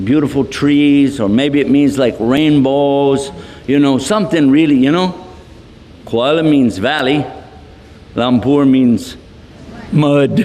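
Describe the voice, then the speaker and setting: A man with a fairly high voice talks at a very slow pace, with long, frequent pauses and very even loudness, in a room with audible echo and noticeable background noise. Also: ordinary pitch variation. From Texas. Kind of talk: lecture. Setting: hall with audience. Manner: animated.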